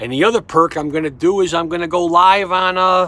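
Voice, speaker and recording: A man speaks with a New York accent. His pace is moderate. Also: dry sound with no echo. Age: 50s. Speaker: sports betting tipster. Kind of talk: casual monologue to camera. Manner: halting, repetitive stammering. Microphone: phone near.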